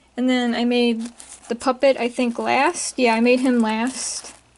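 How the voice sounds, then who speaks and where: A woman talks at a high pitch and a fairly slow pace. Her intonation stays fairly even. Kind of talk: casual talk to camera. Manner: hesitant, many fillers.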